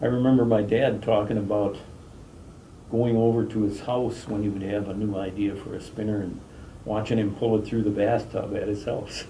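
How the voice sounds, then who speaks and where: Audible room echo surrounds a man talking at a moderate pace. His pitch is fairly low and his intonation monotone and flat. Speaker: fishing lure company president. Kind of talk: interview.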